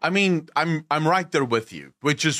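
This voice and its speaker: A man with a South African accent speaks in a bright, sharp tone, recorded very cleanly with a silent background and a dry, close sound with no echo. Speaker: gaming content creator. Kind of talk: casual chat.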